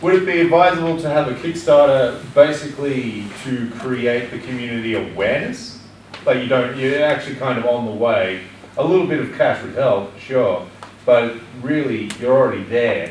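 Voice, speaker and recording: In a room with audible echo and noticeable background noise, a man speaks at a moderate pace in a medium-pitched voice with ordinary pitch variation. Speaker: audience member. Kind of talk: audience question at panel. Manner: loud.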